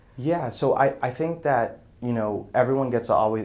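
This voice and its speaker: A man with an American accent and a normal speaking voice, at a moderate pace with ordinary pitch variation. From US Northeast, Brockton, Massachusetts. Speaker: business development professional. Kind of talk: interview. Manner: casual, many filler words.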